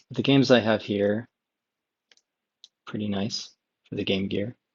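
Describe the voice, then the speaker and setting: A soft-spoken man with a fairly low pitch talks in a relaxed tone with fairly even intonation. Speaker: ASMR video game chat creator. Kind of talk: relaxing ASMR-style chat to camera. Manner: soft-spoken, relaxed.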